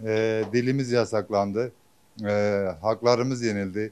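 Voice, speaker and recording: Speaking at a very slow pace, a man talks with a Kurdish accent. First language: Kurdish (speaking Turkish). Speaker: interviewee in street poll. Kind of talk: vox pop interview.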